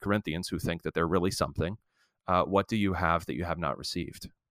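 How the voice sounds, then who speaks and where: In a very clean recording with a silent background and a dry, close sound free of echo, a man speaks in a very deep, low pitch with fairly even intonation. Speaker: seminary professor and pastor. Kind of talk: interview conversation.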